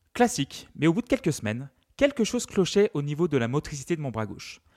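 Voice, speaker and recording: Fairly high male voice at a very fast pace with very wide pitch swings, dry and close with no echo, on a very clean recording with a silent background. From France, Loire. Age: 30s. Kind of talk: scripted narration; casual interview.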